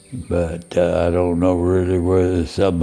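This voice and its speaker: A man with an American accent talks at a fairly slow pace. His pitch is very deep and low, with noticeable background noise behind him. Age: 80s+. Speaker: cowboy and rancher. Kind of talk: interview answer, reminiscing.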